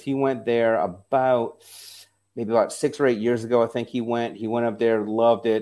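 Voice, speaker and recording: Here a man talks with a South Louisiana accent at medium pitch. The recording is very clean with a silent background. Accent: South Louisiana Southern US. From US South, South Louisiana. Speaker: app founder. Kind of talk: podcast interview.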